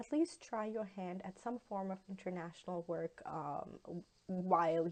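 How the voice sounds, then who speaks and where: A woman's medium-pitched voice in a Pakistani accent, fairly slow with hardly any pauses and ordinary pitch variation. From Pakistan, Lahore. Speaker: university instructor, guest lecturer. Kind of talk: guest lecture. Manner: hesitant, many fillers.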